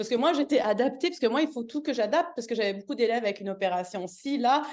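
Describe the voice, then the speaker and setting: Speaking very fast with lively intonation, a woman uses a high pitch and a Canadian French accent. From Canada. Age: 40s. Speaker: yoga teacher. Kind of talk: testimony. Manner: hesitant, many fillers and restarts.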